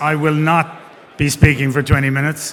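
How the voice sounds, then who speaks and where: In an Irish accent, a man speaks at a fairly slow pace. His fairly high voice stays monotone and flat. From Ireland. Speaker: investment banker. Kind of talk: conference talk. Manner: hesitant, many fillers.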